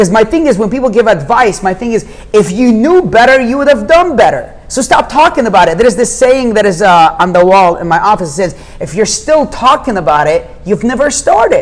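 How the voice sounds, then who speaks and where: With an Arabic accent, a man talks at an extremely high pitch in an animated tone, his pitch swinging very widely at a fairly quick pace over noticeable background noise. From Jordan. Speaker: real estate investor. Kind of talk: podcast interview. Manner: fast, animated.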